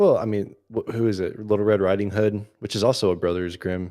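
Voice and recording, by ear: With fairly even intonation, a text is read aloud in a natural voice.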